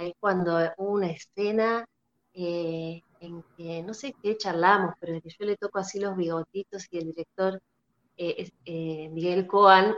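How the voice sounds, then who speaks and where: With a Rioplatense accent, a woman at medium pitch speaks at a fairly slow pace with fairly even intonation and big swings in loudness, the sound dry and close with no echo. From Argentina, La Plata. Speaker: actress. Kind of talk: interview.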